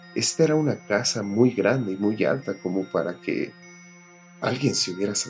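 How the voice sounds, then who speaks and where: A man's fairly low-pitched voice is heard with music playing in the background. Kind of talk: horror story narration.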